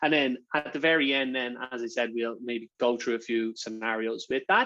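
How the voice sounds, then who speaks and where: In an Irish accent, a man speaks at a moderate pace with a medium pitch and fairly even intonation. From Ireland. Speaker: sales partnerships manager giving a workshop. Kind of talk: online workshop presentation. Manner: casual, with frequent fillers and repetitions.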